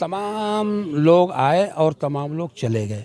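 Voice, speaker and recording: A man talks in a high voice. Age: 70s. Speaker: event announcer. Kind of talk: interview.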